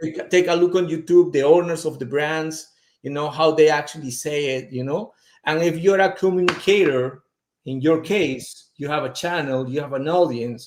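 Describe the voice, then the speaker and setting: A man with a strong non-native accent, fairly high in pitch, with ordinary pitch variation at a moderate pace. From Peru. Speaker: fragrance brand representative. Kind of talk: casual interview chat.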